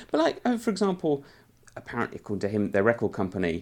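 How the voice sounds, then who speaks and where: A man with a British accent and lively intonation. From UK. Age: 40s. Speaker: music journalist. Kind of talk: interview conversation. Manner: halting.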